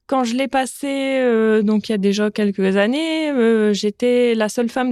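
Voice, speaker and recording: A woman's fairly high, ordinary speaking voice at a fairly slow pace with ordinary pitch variation, dry and close with no echo on a very clean recording with a silent background. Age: 30s. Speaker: butcher and business owner. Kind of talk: testimony.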